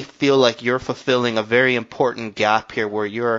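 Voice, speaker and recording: A plain, everyday voice from a man, moderate in pace and medium in pitch. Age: 20s. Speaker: podcast host. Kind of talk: interview.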